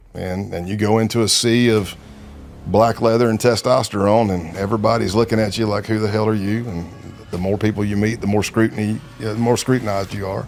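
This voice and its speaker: Music plays in the background while a man with a Southern US accent talks at a fairly quick pace, fairly low in pitch and with monotone, flat intonation. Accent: Southern US accent, noticeable. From South Carolina. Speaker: former FBI undercover agent. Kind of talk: interview storytelling. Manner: hesitant, many fillers.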